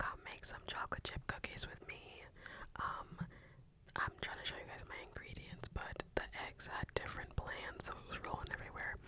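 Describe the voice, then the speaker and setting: A woman whispers at a moderate pace. Noticeable background noise can be heard. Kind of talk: whispered ASMR voiceover. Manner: whispered, soft-spoken.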